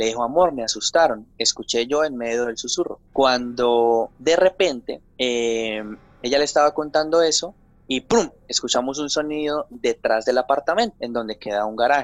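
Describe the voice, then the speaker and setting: A man with a normal speaking voice and fairly high pitch talks at a moderate pace. His pitch variation is ordinary, and the sound is dry and close with no echo. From Colombia, Santander. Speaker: TV journalist. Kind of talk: interview. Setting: remote from home.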